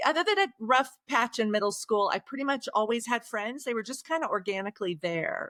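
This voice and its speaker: She has a fairly high pitch and a bright, sharp tone. A slight Oklahoma accent colors this woman's speech. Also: dry, close sound with no echo. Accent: slight Oklahoma twang. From Oklahoma, Osage County. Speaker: author. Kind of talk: podcast interview.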